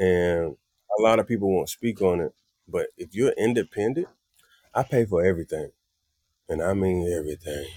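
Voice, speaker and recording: A man with a Southern US accent and a fairly low pitch, dark, mellow tone, ordinary pitch variation, moderate pace with long, frequent pauses, and a dry, close sound with no echo. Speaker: singer and musician. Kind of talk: casual chat. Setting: living room.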